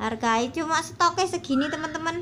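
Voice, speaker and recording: A woman's raised, projected voice with a bright, sharp tone, fairly even intonation and a fairly slow pace over light background noise. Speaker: online plant seller; plant seller. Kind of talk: sales pitch. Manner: casual. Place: garden. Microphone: phone near.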